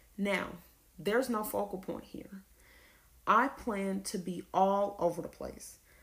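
Using an ordinary speaking voice, a woman with an American accent talks at a moderate pace and medium pitch with lively intonation. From US South (Lawrenceville, Georgia). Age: 20s. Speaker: podcaster, college student. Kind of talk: solo podcast monologue.

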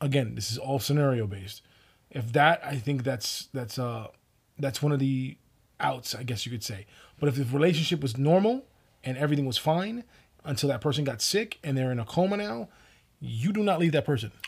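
A man with a fairly high pitch and a somewhat breathy voice speaks with lively intonation on a very clean recording with a silent background. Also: fairly quick pace. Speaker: podcast co-host. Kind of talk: casual chat.

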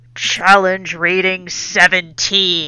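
A booming, put-on character voice at middle pitch delivers its lines in a flat monotone.

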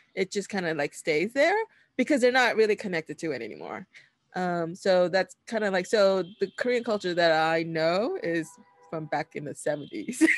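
Over music in the background, a woman with an American accent speaks at a moderate pace and medium pitch with lively intonation, the sound dry and close with no echo. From New York City, Washington Heights. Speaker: podcast host. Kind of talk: casual chat.

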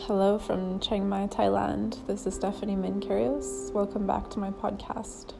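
Over noticeable background noise, a woman speaks in a gentle tone at a moderate pace. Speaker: meditation guide. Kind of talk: guided meditation. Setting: solo recording. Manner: gentle, with long pauses.

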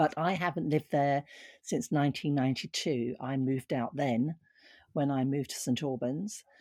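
A woman's very deep, low voice with a dark, mellow tone and a southern English accent, at a moderate pace with ordinary pitch variation and very even loudness, in a dry, close, echo-free and very clean recording against a silent background. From Borehamwood, Hertfordshire, England. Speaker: former actress. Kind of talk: casual chat.

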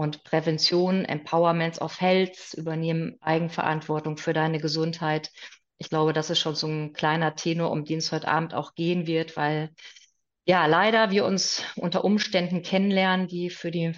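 Intonation here stays monotone and flat. The pace is moderate. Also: woman. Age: 40s. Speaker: naturopath. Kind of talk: expert interview.

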